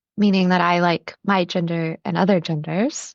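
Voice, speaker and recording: In a plain, everyday voice, a woman speaks at a medium pitch with an American accent. Her pace is fairly slow. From New York. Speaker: podcast host. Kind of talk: casual chat.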